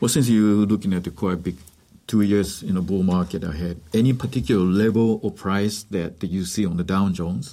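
A man's fairly low voice with ordinary pitch variation, an ordinary speaking voice. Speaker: interpreter and trading educator. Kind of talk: consecutive interpretation in radio interview.

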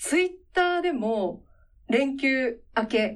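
A woman speaks at a high pitch. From Tottori, Japan. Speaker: radio host, former announcer. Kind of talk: casual chat.

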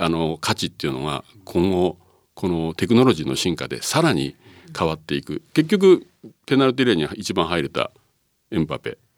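Very deep and low, a man's voice has vocal fry and lively intonation at a fairly quick pace, in a dry, close sound with no echo. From Japan, Numazu, Shizuoka. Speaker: football coach and pundit. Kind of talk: casual chat.

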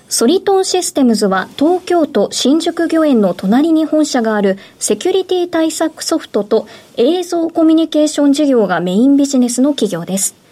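Through noticeable background noise, a woman speaks at a high pitch with very wide pitch swings. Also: moderate pace. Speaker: radio announcer. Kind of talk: radio interview. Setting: studio. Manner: formal.

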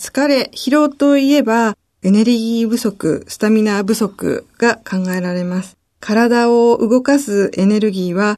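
The voice belongs to a woman, with a dark, mellow tone. She pitches it fairly high. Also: quiet background. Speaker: registered dietitian. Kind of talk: radio interview. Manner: formal.

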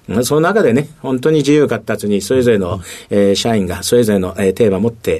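In a dark, mellow tone, the man talks with lively intonation. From Tokyo, Japan. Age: 60s. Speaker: company president. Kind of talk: interview. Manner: many fillers, halting.

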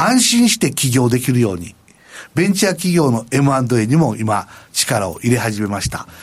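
A somewhat breathy man, medium in pitch, with very wide pitch swings at a moderate pace. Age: 70s. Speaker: company president. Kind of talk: interview.

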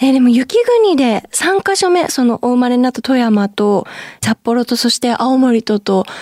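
Her voice high-pitched yet dark and mellow in tone, a woman speaks at a moderate pace with lively intonation, the sound dry and close with no echo. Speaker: radio host and idol singer. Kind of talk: radio show hosting. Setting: studio. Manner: polite.

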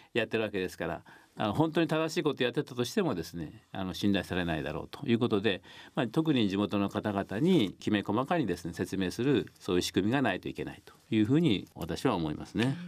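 A man at a very fast pace, fairly low in pitch, with very wide pitch swings and big swings in loudness, on a very clean recording with a silent background. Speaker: nuclear policy researcher and professor. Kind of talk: radio interview.

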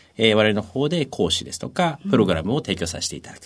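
A man with a fairly low pitch speaks in very wide pitch swings. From Tokyo. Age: 40s. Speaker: company president. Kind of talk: interview.

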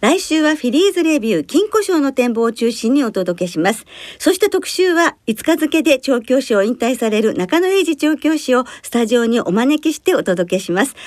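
A woman speaks in a high pitch with very wide swings in her intonation. Her pace is moderate, and she hardly pauses at all. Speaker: radio host and horse racing commentator. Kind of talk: casual chat. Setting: studio. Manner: formal.

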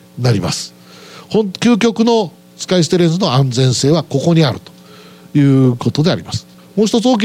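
A man speaks at a moderate pace in a high voice. His intonation is lively. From Aichi, Japan. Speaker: company president. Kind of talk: investor presentation. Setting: stage with audience. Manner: formal.

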